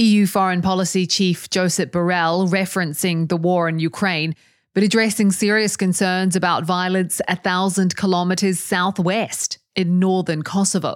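A woman speaks at a moderate pace with medium pitch and flat, monotone intonation. Her loudness stays very even on a very clean recording with a silent background. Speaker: news podcast host. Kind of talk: news reading. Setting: studio.

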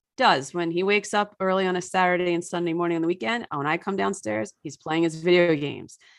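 A woman with an American accent uses an ordinary speaking voice, fairly low in pitch with ordinary pitch variation, against a quiet background. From US suburbs. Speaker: author and environmental parenting writer. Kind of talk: casual interview chat.

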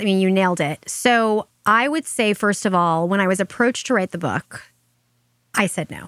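In a very clean recording with a silent background and a dry, close sound with no echo, a woman with an American accent uses an ordinary speaking voice at a moderate pace with ordinary pitch variation. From Long Island, New York. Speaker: marketing entrepreneur and author. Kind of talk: interview conversation.

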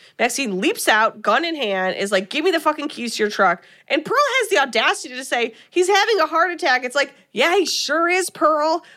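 A woman with a high pitch speaks in a raised, projected voice at a fairly quick pace, her pitch swinging very widely. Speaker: podcast co-host. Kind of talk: casual chat, live show, retelling movie plot. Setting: live show, video stream.

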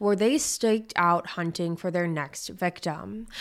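A woman's plain, everyday voice at a medium pitch and a fairly slow pace. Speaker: podcast host. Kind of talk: true-crime narration. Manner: measured storytelling; conversational.

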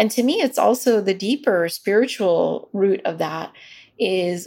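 A woman with vocal fry speaks at a fairly slow pace with ordinary pitch variation in a very clean recording with a silent background. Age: 40s. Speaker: midwife and researcher. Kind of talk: interview.

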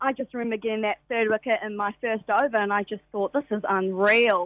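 A woman with a New Zealand accent, fairly high pitch and fairly even intonation, in a dry, close sound with no echo over a quiet background. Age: 20s. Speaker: professional cricketer. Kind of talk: radio interview. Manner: halting, many fillers.

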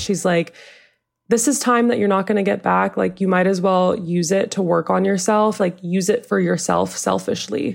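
A woman's normal speaking voice at a medium pitch and a moderate pace. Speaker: commuter. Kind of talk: casual interview.

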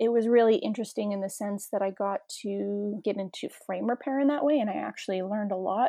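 A woman with a Canadian accent speaks at a moderate pace in an unremarkable speaking voice, her fairly high pitch showing ordinary variation. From Toronto, Canada. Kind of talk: casual interview chat.

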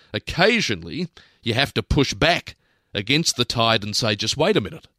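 Bright and sharp in tone, the voice moves at a moderate pace with lively intonation, recorded dry and close with no echo against a silent, very clean background. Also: man. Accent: Australian. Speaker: radio host. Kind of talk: opinion commentary.

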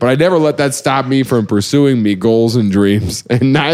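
Ordinary pitch variation in a plain read-aloud passage

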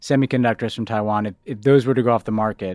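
A man with an ordinary speaking voice talks at a medium pitch with ordinary pitch variation. The sound is dry and close with no echo, on a very clean recording with a silent background. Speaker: podcast host discussing foreign policy. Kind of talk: casual political discussion and interview.

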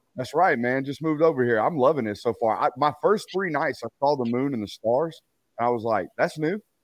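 With a Texan accent, a man talks in a fairly high pitch and lively intonation. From Texas. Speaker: sports media personality, former college football player. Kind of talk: casual interview.

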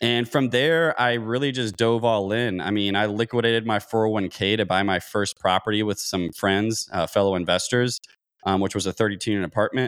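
Here is a man with an ordinary speaking voice, pitched fairly low, with ordinary pitch variation. He talks at a fairly quick pace, and his loudness stays very even. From Kentucky, US South. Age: 30s. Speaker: real estate investor, former air traffic controller. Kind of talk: interview.

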